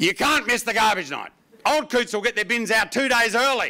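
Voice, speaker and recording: At a fairly quick pace, a man speaks in a raised, projected voice. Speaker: stand-up comedian. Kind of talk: stand-up comedy routine. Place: stage. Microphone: handheld.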